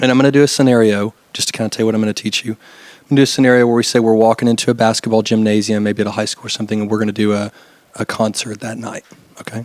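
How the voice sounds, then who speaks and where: At a very fast pace, a man speaks with a medium pitch and monotone, flat intonation. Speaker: event production technician. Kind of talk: tutorial. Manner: casual, filler-heavy.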